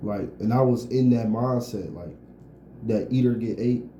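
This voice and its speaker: Somewhat breathy, with a dark, mellow tone and medium pitch, a man speaks at a moderate pace with fairly even intonation in audible room echo. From Detroit. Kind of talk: casual chat.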